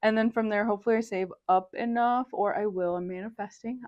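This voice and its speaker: With an American accent, a woman speaks in a plain, everyday voice at a fairly quick pace, her pitch varying in an ordinary way. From Indiana, USA. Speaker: university student. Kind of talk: interview answer.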